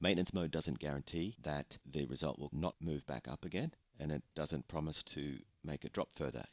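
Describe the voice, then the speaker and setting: Vocal fry marks this man's very deep, low voice as he talks at a fairly quick pace. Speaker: online reputation management business owner. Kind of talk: screen-share explainer narration.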